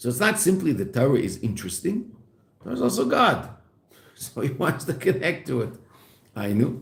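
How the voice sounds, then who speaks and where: A man with a fairly high pitch speaks at a moderate pace, his voice somewhat breathy. His pitch swings very widely, and audible room echo surrounds him. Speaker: rabbi teaching Chassidus. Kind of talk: lecture. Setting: classroom.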